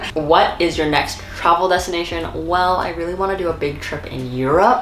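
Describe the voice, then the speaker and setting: Amid noticeable background noise and audible room echo, a woman speaks at a fairly low pitch with ordinary pitch variation. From South Korea. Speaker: lifestyle YouTuber. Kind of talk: casual Q&A chat. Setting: eating snacks while talking. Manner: fast.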